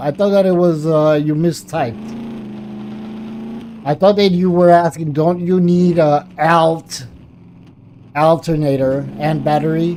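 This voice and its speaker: A non-native accent at a fairly slow pace, full of long, frequent pauses, with noticeable background noise. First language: not English. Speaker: gaming streamer. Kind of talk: live gameplay commentary. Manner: casual, chatty.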